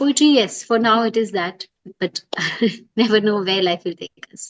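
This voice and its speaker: A woman with an Indian accent at a moderate pace, ordinary pitch variation, and a dry, close sound with no echo. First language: Hindi. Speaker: poet and business writer. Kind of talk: interview.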